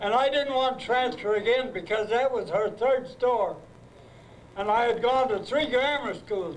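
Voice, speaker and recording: With an American accent, a man talks at a moderate pace and an extremely high pitch, his loudness very even and his pitch variation ordinary, over noticeable background noise. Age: 80s+. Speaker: retired high school principal. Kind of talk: reunion speech to former students. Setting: live event hall.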